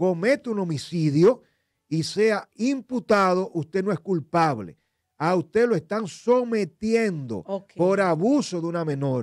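Against a quiet background, a man with a high pitch speaks at a fairly slow pace with lively intonation and a dry sound with no echo. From Dominican Republic. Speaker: lawyer and legal commentator; lawyer, legal commentator. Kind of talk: legal analysis on a radio talk show. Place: studio. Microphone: studio mic.

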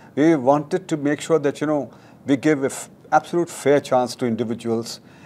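A man speaks at a fairly quick pace in a dark, mellow tone, his pitch varying in an ordinary way. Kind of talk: interview answer. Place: hall. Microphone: lapel.

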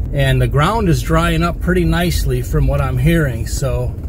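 A man speaks at a fairly quick pace over noticeable background noise, with a dry sound that has no echo. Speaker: land management vlogger. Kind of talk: casual vlog chat. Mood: earnest then upbeat. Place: car. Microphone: phone near.

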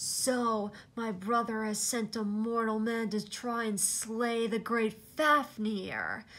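Hissing through a put-on character voice, the speaker talks at a very slow pace with hardly any pauses. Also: woman, fairly high pitch for a woman. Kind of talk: reading aloud from a book. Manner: hissing, scornful.

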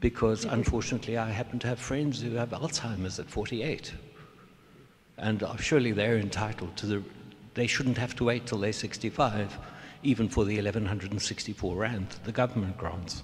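Somewhat breathy male voice, moderate pace and fairly even intonation. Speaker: audience member. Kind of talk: audience question. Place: hall. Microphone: handheld.

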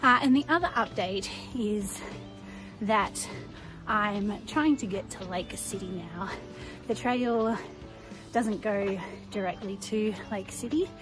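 A woman speaks at a fairly slow pace with ordinary pitch variation and long, frequent pauses while clear music plays in the background. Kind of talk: casual vlog chat. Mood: cheerful, upbeat. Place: street. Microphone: phone near.

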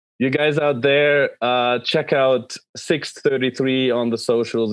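Speaking at a very slow pace, a man is heard in a dry sound with no echo against a quiet background. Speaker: podcast host. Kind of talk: interview. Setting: video call. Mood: cheerful, enthusiastic. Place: home room. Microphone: video call.

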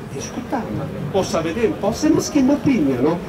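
Noticeable background noise runs under a man's voice. He talks at a fairly quick pace with very wide pitch swings. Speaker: complainant, Italian citizen living in Romania. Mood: upset, indignant. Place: street.

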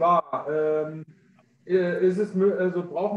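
A man speaks with a high pitch and ordinary pitch variation. Room echo is audible. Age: young. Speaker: webinar co-host and moderator; webinar co-host, moderator. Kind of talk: webinar moderation. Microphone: video call.

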